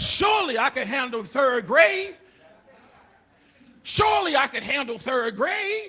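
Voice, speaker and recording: Against noticeable background noise, a man with an extremely high pitch speaks in a raised, projected voice, animated and full of very wide pitch swings, at a fairly slow pace with long, frequent pauses. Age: 60s. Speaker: comedian and pastor. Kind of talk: stand-up.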